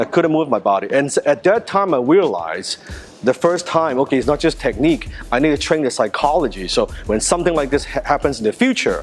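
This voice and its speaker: Over music in the background, a man with a Chinese accent talks at a fairly quick pace and fairly high pitch, with very wide pitch swings. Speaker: martial arts instructor. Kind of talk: personal story; tutorial.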